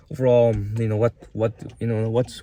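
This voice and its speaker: A man's medium-pitched voice, dark and mellow in tone, with a non-native accent, at a moderate pace. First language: not English. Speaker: YouTuber. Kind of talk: casual vlog monologue. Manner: halting, many fillers.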